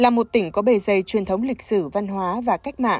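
A woman speaks in an unremarkable speaking voice at a fairly quick pace, with ordinary pitch variation. The sound is dry and close with no echo, and the recording is very clean against a silent background. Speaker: news presenter. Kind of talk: news reading. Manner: formal.

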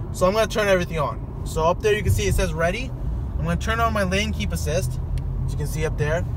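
At a very fast pace, the speech comes through dry with no echo, amid noticeable background noise. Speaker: driver demonstrating car feature. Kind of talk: casual vlog tutorial. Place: car. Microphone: phone near.

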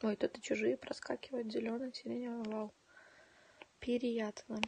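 Captured dry with no echo, a woman talks at a moderate pace. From Donetsk, eastern Ukraine. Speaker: livestreamer. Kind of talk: casual chat. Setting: home livestream. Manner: animated. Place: home room. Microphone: phone near.

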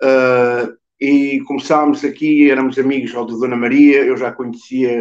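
The man's delivery is fairly slow, and the background stays quiet. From Coimbra, Portugal. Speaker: musician, drummer. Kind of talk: interview answer. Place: home room. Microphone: video call.

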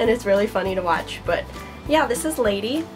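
Clear music can be heard behind a woman as she talks. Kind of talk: casual vlog chat. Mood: cheerful, laughing at times. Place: home room. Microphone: camera far.

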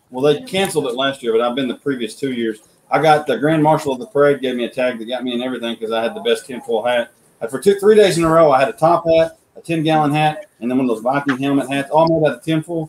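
With an American accent, a man speaks at a very fast pace over light background noise. His pitch is fairly high and varies in an ordinary way. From Oklahoma. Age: 30s. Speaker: sculptor and woodcarver; guest. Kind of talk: casual chat. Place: home room. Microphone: video call.

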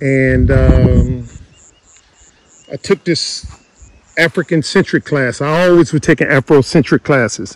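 A man's voice with ordinary pitch variation, a dry sound with no echo and light background noise. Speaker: farm owner vlogger. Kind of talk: casual vlog chat. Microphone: phone near.

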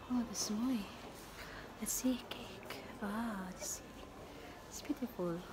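Amid noticeable background noise, a woman speaks at a very slow pace with long, frequent pauses. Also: ordinary pitch variation. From Philippines. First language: Tagalog. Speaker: travel vlogger. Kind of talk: vlog narration. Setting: outdoors. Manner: halting. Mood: cheerful, admiring.

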